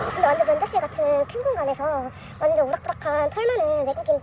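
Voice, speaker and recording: Over noticeable background noise, a woman talks at a very fast pace. Her pitch is high, with ordinary variation. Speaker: vlogger. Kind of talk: casual vlog talk.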